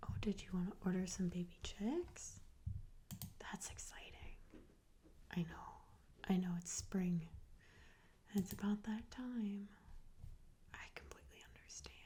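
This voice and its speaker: The speaker whispers softly, at a fairly slow pace. Long pauses come often. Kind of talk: ASMR role play. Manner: soft-spoken, whispered. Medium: role play.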